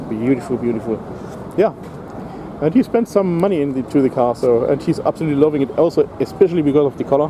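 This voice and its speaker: A man talks at a very fast pace with lively intonation and a German accent, over noticeable background noise. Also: fairly high pitch for a man. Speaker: car vlogger. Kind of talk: casual walkthrough vlog commentary. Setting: outdoors at a car show. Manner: hesitant, many fillers.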